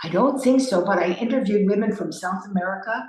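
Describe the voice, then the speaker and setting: A woman's fairly high voice with audible room echo. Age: 60s. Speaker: leadership consultant and speaker. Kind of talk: keynote talk.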